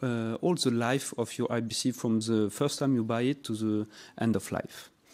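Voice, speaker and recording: A man speaks with a French accent at a medium pitch and moderate pace. His intonation is fairly even, on a very clean recording with a silent background. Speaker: company representative. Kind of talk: sales pitch. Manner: halting.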